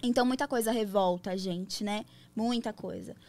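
In an unremarkable speaking voice, a woman talks at a moderate pace with fairly high pitch and fairly even intonation, on a very clean recording with a silent background. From São Paulo, Brazil. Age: 20s. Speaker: DJ and adult content entrepreneur. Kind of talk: casual interview chat.

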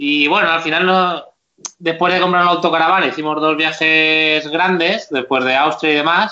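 Here is an unremarkable speaking voice, a man with a fairly high pitch, very even loudness, fairly even intonation and a moderate pace. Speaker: YouTuber, motorhome travel channel. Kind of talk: casual interview chat.

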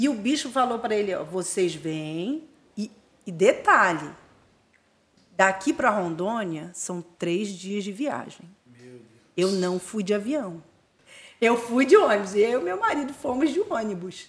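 A woman at medium pitch, fairly slow, with lively intonation and long, frequent pauses. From Rio de Janeiro state, Brazil (Búzios). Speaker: missionary and theological school director. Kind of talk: testimony.

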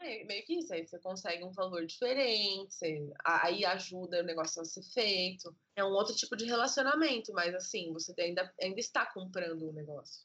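A woman at a moderate pace, with a normal speaking voice, medium pitch, and ordinary pitch variation. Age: 20s. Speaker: children's book author and illustrator. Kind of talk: casual interview.

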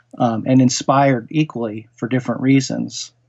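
The man has an ordinary speaking voice at a medium pitch. He keeps a moderate pace with fairly even intonation. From US Northeast, Connecticut (Norwalk). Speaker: horror writer. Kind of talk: interview conversation.

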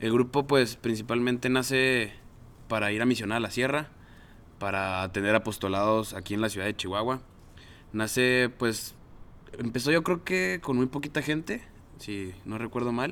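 Using a Mexican accent, a man at medium pitch speaks with long, frequent pauses. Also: ordinary pitch variation, moderate pace. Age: 20s. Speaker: mechatronics engineer and alumni group coordinator. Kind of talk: casual chat.

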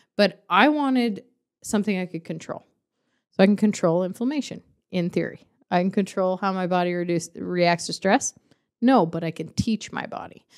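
A woman speaks in a plain, everyday voice at a medium pitch. Her pace is moderate, with ordinary pitch variation. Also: very clean recording, silent background. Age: 30s. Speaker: podcast co-host. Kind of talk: casual chat. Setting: studio.

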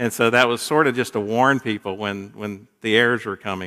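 A man with an American accent, bright and sharp in tone, at a moderate pace. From US South, Gainesville, Florida. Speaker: minister, guest preacher. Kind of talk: sermon.

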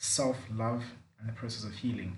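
A somewhat breathy man's voice at medium pitch and moderate pace, with audible room echo. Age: 20s. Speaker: podcast host. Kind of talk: casual chat.

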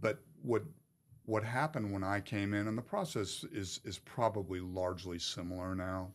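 At a moderate pace, a plain, everyday voice shows ordinary pitch variation. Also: man, fairly low pitch for a man. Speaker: retired FBI special agent. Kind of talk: casual interview.

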